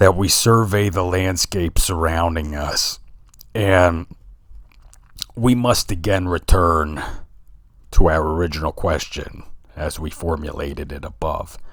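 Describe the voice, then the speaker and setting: Using a put-on character voice, a man speaks in a raspy, very deep, low pitch at a fairly slow pace, with big swings in loudness and long, frequent pauses. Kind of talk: philosophical lecture. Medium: solo performance. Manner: earnest, rhetorical, measured.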